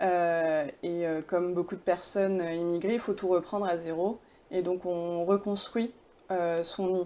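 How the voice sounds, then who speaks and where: Against a quiet background, a woman speaks in a fairly low pitch with a dark, mellow tone. Her pace is fairly slow and her intonation fairly even. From France, born in Pakistan, arrived age 3. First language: Urdu (speaking French). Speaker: film director. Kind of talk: interview. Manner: hesitant, many fillers.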